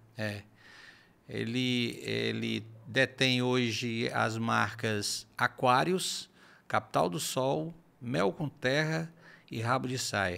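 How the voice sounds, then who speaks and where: Very slow, lively speech from a man at medium pitch, bright and sharp in tone, with long, frequent pauses. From Ceará, Brazil. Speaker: forró singer; podcast guest. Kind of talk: casual interview chat. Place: studio. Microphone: studio mic.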